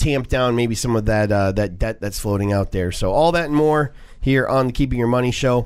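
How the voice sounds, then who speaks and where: Here a man speaks at a moderate pace in an unremarkable speaking voice. His intonation is lively. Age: 40s. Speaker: radio finance show host. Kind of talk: radio talk show.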